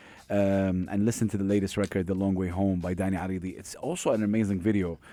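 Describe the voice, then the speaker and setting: Over a silent background in a very clean recording, a man talks at a fairly quick pace in a dark, mellow tone. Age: 40s. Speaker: radio host. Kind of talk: casual chat. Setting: studio. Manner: animated.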